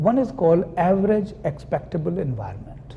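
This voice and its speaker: A fairly slow pace carries the speech. There is noticeable noise in the background. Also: man. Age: 60s. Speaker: psychoanalyst. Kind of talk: lecture.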